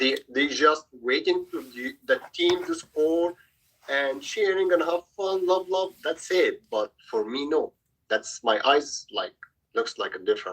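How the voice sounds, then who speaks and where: A man talks at a fairly slow pace with an Egyptian accent. The sound is dry and close, with no echo. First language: Arabic. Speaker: youth soccer coach. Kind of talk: casual group video call chat. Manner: halting.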